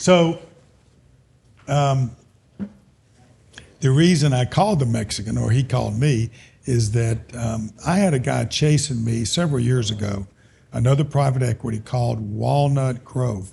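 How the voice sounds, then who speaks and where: With an Alabama accent, a man speaks fairly slowly at a medium pitch, his dark, mellow voice somewhat breathy, with ordinary pitch variation and long, frequent pauses. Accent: Southern US (Alabama). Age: 70s. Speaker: business owner. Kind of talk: casual chat.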